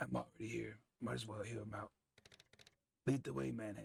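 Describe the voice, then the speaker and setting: A man puts on a raspy character voice. He speaks at a fairly quick pace with a fairly low pitch. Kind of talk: hard-boiled detective voice-over. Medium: game stream. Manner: dry, sardonic, world-weary.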